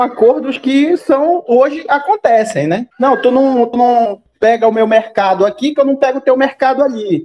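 A man's voice at an extremely high pitch. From Belém, Pará, northern Brazil. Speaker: podcast co-host. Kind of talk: casual chat.

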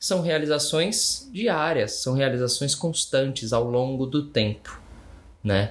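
With lively intonation, a man speaks in a fairly high, somewhat breathy voice. The background is quiet. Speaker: podcast co-host. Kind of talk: casual chat. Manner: giggly.

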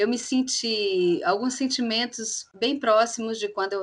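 A woman with a normal speaking voice, ordinary pitch variation and a fairly slow pace. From Belo Horizonte, Minas Gerais, Brazil. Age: 30s. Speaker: clown and actress. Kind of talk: casual chat.

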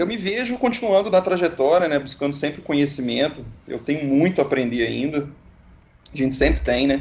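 With vocal fry and lively intonation, a man speaks at a fairly quick pace and a fairly high pitch. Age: 30s. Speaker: engineering specialist. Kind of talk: casual interview. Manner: halting.

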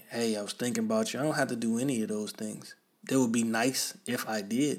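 A man with an ordinary speaking voice at medium pitch, fairly even intonation, fairly quick pace. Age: 30s. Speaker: podcast host. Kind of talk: solo monologue. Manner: casual, conversational.

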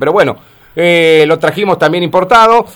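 Here is a man with an Argentine accent and a high pitch. His pace is fairly quick. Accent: Rioplatense Argentine Spanish. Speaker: radio host. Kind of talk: radio interview.

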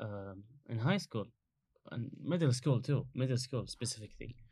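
A man of medium pitch speaks in a Kuwaiti accent. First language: Arabic. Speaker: international student. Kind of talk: casual interview chat. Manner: halting, many fillers.

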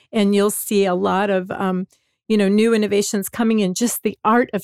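A woman speaks with an American accent and monotone, flat intonation. The recording is very clean with a silent background and a dry, close sound with no echo. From northwest Indiana, near Chicago. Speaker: footwear design executive. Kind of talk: interview.

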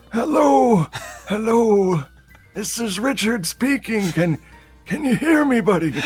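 A man speaks in a put-on character voice, high-pitched and fairly slow, with faint music in the background.

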